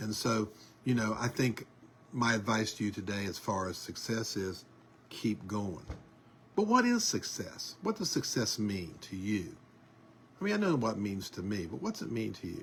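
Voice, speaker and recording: A man's fairly low, somewhat breathy voice at a moderate pace, with ordinary pitch variation and long, frequent pauses. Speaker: online news show host. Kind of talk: casual monologue. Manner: hesitant with many fillers.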